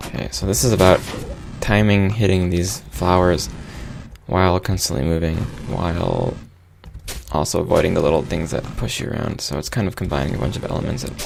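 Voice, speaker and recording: This man's voice is very deep and low, with very wide pitch swings and long, frequent pauses. Audible room echo and noticeable background noise surround him. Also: fairly quick pace. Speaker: game developer doing let's play commentary. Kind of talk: live-streamed gameplay commentary. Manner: casual, hesitant with many fillers.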